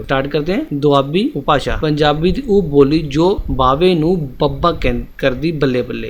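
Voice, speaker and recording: The speaker has a normal speaking voice with ordinary pitch variation. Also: man, fairly high pitch for a man. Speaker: exam-prep teacher. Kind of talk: educational lecture.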